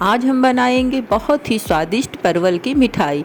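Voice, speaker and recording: A woman whose pitch swings very widely, with noticeable background noise behind her. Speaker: cooking channel host. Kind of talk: cooking tutorial.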